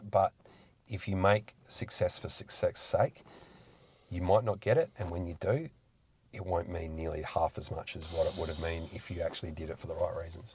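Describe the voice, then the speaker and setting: This Australian accent belongs to a man. He talks at a moderate pace. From South Australia, rural south-east. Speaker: local councillor and business owner. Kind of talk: podcast interview.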